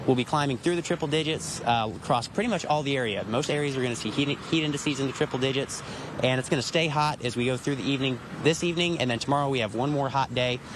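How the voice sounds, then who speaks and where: A fairly high-pitched man with an American accent at a very fast pace, amid noticeable background noise. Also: ordinary pitch variation. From US South. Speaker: broadcast meteorologist. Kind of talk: live TV field report. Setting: outdoors.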